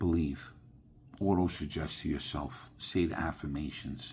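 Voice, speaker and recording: Vocal fry colors speech delivered at a very slow pace. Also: man. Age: 60s. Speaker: spiritual vlogger. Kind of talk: casual monologue to camera. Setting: sitting at home, evening. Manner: repetitive, halting with fillers.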